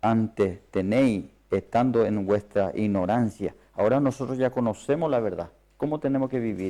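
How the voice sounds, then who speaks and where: A man with a non-native accent speaks at a medium pitch in a dark, mellow tone. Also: ordinary pitch variation, moderate pace. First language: not Spanish (speaking Spanish). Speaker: preacher. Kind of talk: sermon. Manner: halting.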